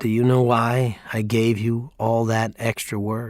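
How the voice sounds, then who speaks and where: A man uses a put-on character voice at a medium pitch, speaking at a fairly slow pace. His intonation stays monotone and flat. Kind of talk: grave, slow-paced. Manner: serious, fatherly.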